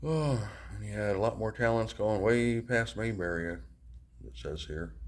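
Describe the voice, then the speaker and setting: At a fairly slow pace, a man talks in a room with audible echo. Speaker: travel vlogger. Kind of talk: casual vlog walkthrough. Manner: animated; casual, hesitant with fillers.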